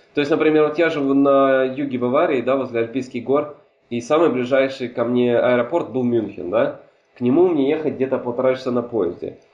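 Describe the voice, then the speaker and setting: In a plain, everyday voice, a man talks at a fairly quick pace with medium pitch and ordinary pitch variation. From Hungary. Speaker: podcast guest, film enthusiast. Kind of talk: casual chat.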